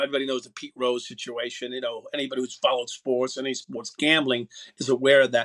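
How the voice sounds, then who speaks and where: Speaking at a fairly quick pace, a man with a New York accent uses ordinary pitch variation, captured in a dry, close sound with no echo. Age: 60s. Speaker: former police officer. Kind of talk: radio interview. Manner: halting, many fillers.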